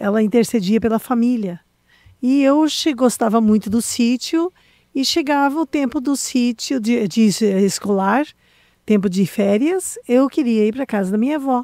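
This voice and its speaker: On a very clean recording with a silent background and a dry, close sound with no echo, a woman speaks at a fairly slow pace with a high pitch, a dark, mellow tone, and lively intonation. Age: 60s. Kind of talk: testimony.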